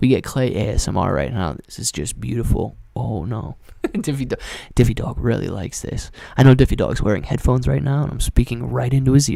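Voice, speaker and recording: A man puts on a soft-spoken, breathy character voice at a medium pitch. He moves along at a fairly quick pace. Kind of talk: casual, joking. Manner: ASMR, soft and intimate.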